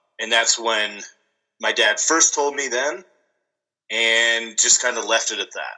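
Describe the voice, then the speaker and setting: At a very slow pace, a man of medium pitch talks with ordinary pitch variation and long, frequent pauses. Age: 30s. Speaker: military veteran and wrestler. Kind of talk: casual chat. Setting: phone or remote call.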